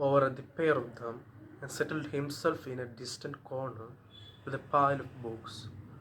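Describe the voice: The words are simply read out loud.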